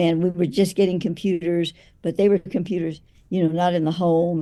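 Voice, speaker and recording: A woman's fairly low, dark, mellow voice with fairly even intonation. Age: 70s. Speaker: spiritual author. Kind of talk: interview. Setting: remote call.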